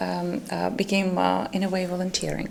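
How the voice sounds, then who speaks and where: Someone speaks in a Ukrainian accent at a moderate pace over noticeable background noise. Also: woman. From Ukraine. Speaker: volunteer project lead. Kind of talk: panel discussion. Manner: hesitant, many fillers.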